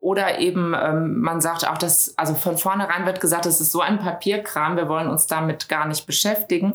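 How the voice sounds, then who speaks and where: Over noticeable background noise, a woman with a fairly low pitch talks at a moderate pace with hardly any pauses. Her intonation stays fairly even. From Düsseldorf, western Germany. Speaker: business consultant. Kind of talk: interview. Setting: studio, in person.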